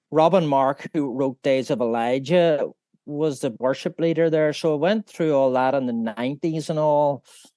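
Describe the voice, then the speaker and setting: A man with a Northern Irish accent talks at a fairly high pitch. The sound is dry and close, with no echo. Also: ordinary pitch variation, moderate pace, quiet background. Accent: Northern Irish (Belfast). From Northern Ireland, Belfast. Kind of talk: interview, personal faith testimony. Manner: halting, many fillers.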